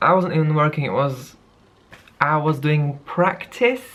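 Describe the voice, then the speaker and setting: This woman's voice sits at a very deep, low pitch with a non-native accent. Her pitch varies in an ordinary way. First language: not English. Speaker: vlogger and singer. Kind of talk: personal vlog monologue. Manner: halting.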